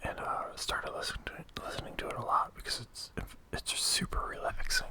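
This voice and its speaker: Someone whispers at a fairly quick pace. Noticeable background noise runs underneath. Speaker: ASMR gaming channel host. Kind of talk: gameplay commentary. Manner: whispered.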